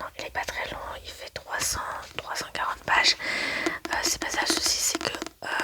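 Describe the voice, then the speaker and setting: A woman whispers in a relaxed tone. Noticeable background noise can be heard. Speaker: ASMR book-review creator. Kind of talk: casual ASMR book review talk to camera. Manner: soft, relaxed, conversational.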